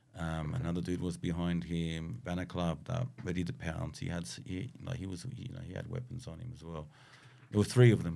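In an Australian accent, a man talks at a fairly quick pace with a very deep, low pitch, very wide pitch swings, vocal fry, a dark, mellow tone and big swings in loudness. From Southwest Sydney, Australia. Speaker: graffiti artist and muralist. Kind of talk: casual chat. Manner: animated.

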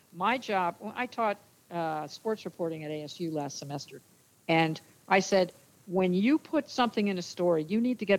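In an American accent, an unremarkable speaking voice moves at a moderate pace with lively intonation. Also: woman. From New Jersey. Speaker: former sportscaster and sports official. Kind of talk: casual interview.

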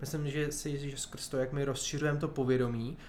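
Very fast and in a monotone, flat intonation, a man talks at a medium pitch with audible room echo. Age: 30s. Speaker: nonprofit director. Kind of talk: interview.

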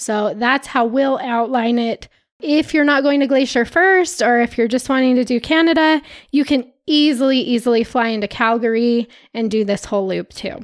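Her tone is animated and her pitch high. The woman is heard on a very clean recording with a silent background. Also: ordinary pitch variation, moderate pace. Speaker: former park ranger, podcast host. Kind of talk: casual chat.

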